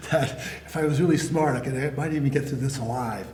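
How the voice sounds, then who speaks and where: Amid noticeable background noise and audible room echo, a man talks very fast with ordinary pitch variation. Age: 70s. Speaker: Vietnam war veteran. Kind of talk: oral history interview. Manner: halting.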